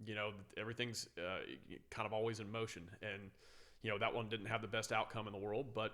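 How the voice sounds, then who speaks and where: An American accent from a man with a fairly low pitch, a bright, sharp tone, a fairly quick pace and long, frequent pauses. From San Francisco, California, then Louisiana. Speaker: firefighter. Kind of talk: casual chat. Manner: loud; animated.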